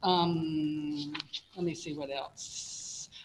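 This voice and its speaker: A woman is talking, and background noise can be clearly heard. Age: 70s. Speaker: applicant at zoning hearing, retired professor. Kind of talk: public hearing testimony. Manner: halting, with fillers.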